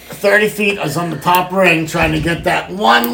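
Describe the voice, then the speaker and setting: There is noticeable noise behind a woman who speaks at a moderate speed. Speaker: podcast host. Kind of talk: casual banter podcast. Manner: joking, playful.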